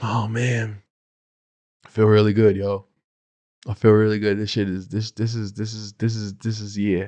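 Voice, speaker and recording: This man has a dark, mellow tone and a fairly low pitch. He keeps a moderate pace but leaves long, frequent pauses. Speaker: podcast host and speaking coach. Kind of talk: casual solo podcast monologue. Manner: loud; animated.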